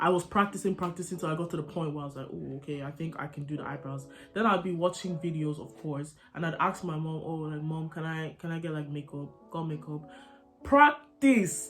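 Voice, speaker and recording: A woman with a British accent speaks at a fairly quick pace in a very deep, low pitch. Her loudness swings widely, with music playing in the background. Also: ordinary pitch variation. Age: young. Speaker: makeup content creator. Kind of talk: casual talk to camera. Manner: chatty, informal.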